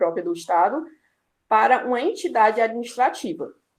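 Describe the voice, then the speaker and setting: Speaking with a Brazilian accent, a woman has a fairly high pitch. Her voice swings very widely in pitch. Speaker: student presenter. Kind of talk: class review presentation. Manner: hesitant, many fillers.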